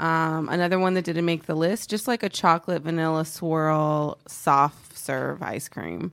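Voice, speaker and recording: A woman with an ordinary speaking voice and an American accent talks at a fairly slow pace, with fairly low pitch and fairly even intonation. She hardly pauses, and the recording is very clean with a silent background. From Texas, Oak Cliff in Dallas. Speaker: comedian. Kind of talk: casual chat.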